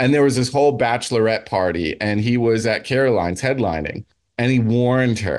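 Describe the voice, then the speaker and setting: Speaking with an American accent, a man uses an unremarkable speaking voice. His pitch sits in the medium range. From New Jersey. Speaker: comedian. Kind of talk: casual chat.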